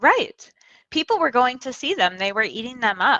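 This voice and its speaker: A woman speaks in a raised, projected voice. She has an American accent. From United States. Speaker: magazine writer, horror critic. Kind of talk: casual chat.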